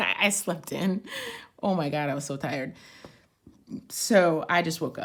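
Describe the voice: Putting on a raspy character voice, a woman speaks at a fairly low pitch and moderate pace with lively intonation and long, frequent pauses.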